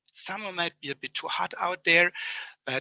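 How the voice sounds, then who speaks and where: In a German accent, a man speaks with a high pitch and a bright, sharp tone, the sound dry and close with no echo. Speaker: conference speaker. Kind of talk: conference summary talk. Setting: online conference.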